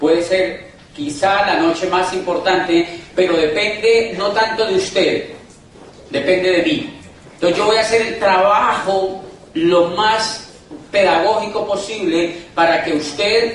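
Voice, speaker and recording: Animated in tone, a man with a high voice and ordinary pitch variation talks fairly slowly amid noticeable background noise and audible room echo. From Colombia. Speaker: motivational business speaker. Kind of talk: motivational talk. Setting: stage with audience.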